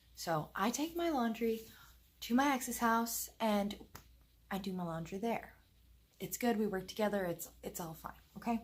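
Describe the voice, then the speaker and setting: A soft-spoken woman talks at a moderate pace with long, frequent pauses, her fairly high, somewhat breathy voice moving in lively intonation. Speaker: vlogger. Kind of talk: casual chat.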